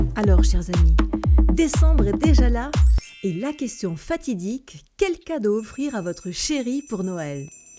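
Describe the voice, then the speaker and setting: A woman speaks very slowly in an upbeat tone while music plays in the background. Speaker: voice-over artist. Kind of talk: satirical radio-style column. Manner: upbeat, ironic.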